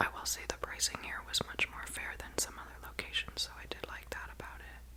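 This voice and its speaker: A woman whispering in an American accent, relaxed in tone and moderate in pace, over noticeable background noise. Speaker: ASMR content creator. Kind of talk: whispered travel vlog voiceover. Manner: whispered, relaxed, friendly.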